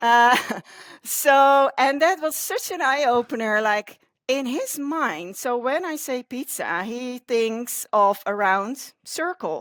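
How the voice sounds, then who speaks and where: Very slowly, a woman speaks in a high voice with a Dutch accent and lively intonation. The sound is dry and close with no echo, on a very clean recording with a silent background. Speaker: communications consultant. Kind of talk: interview conversation.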